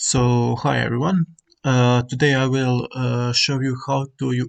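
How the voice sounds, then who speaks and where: A man with a non-native accent speaks at a medium pitch. His pace is fairly slow and his intonation fairly even. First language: not English. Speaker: gaming tutorial creator. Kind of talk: tutorial. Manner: halting, many fillers.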